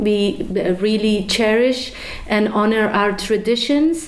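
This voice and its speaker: A woman with a Persian accent speaks at a very slow pace and a fairly high pitch, her intonation fairly even. Noticeable background noise and audible room echo fill the recording. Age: 30s. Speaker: activist, student. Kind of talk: interview.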